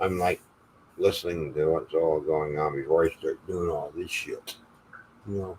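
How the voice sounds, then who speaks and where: The man talks at a moderate speed, pausing often and at length. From Canada (Ontario). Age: 60s. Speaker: live stream host. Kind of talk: casual chat. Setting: live stream.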